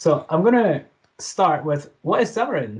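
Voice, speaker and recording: A man talks with a somewhat breathy sound and ordinary pitch variation. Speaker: software developer presenter. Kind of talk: tech talk presentation. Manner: fast; hesitant with fillers.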